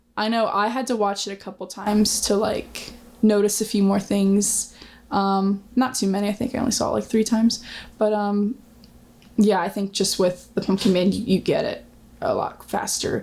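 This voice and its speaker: Somewhat breathy, the voice keeps fairly even intonation and a moderate pace. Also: woman, medium pitch for a woman. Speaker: actress. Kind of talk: interview. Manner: hesitant, many fillers.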